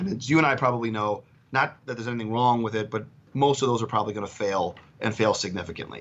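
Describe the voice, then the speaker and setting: Very fast delivery from a man, medium in pitch, with ordinary pitch variation. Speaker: oil and gas executive. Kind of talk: prepared market overview talk. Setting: call.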